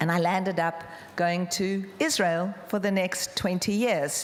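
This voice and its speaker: Someone with a South African accent speaks at a very slow pace, with noticeable background noise and audible room echo. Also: woman. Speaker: charity founder. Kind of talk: conference talk.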